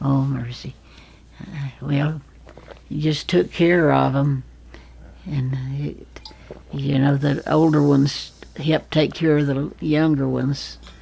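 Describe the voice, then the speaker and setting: The delivery is very slow, broken by long, frequent pauses. Intonation stays fairly even. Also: woman, very deep, low pitch for a woman. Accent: Appalachian. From Fancy Gap, Virginia, US. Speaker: retired nurse. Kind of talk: interview answer.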